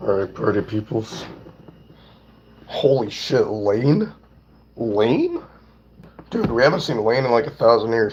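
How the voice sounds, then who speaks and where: Over noticeable background noise, a man speaks at medium pitch with ordinary pitch variation, going at a fairly slow pace with long, frequent pauses. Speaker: streamer. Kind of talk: casual chat. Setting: live stream. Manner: animated.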